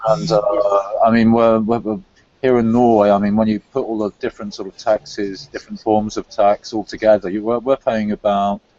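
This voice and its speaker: Speaking in a London accent, a man keeps a fairly quick pace and a fairly low pitch. His intonation is fairly even. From England, London. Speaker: conspiracy-theory discussion guest. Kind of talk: casual chat. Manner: halting, with many fillers and repetitions.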